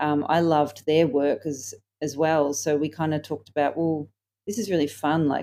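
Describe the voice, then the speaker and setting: A woman speaks at a moderate pace in a very deep, low register, her tone dark and mellow. Her intonation stays fairly even over a very clean recording with a silent background. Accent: Australian. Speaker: singer-songwriter. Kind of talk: interview. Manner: hesitant, many fillers.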